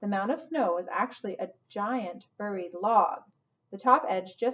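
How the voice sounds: Pitch varies in an ordinary way across a natural reading voice. Nothing much stirs in the quiet background.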